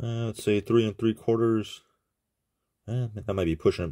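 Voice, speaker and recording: The speaker is a man. His recording is very clean and the background is silent. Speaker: knife reviewer. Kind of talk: product review. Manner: casual.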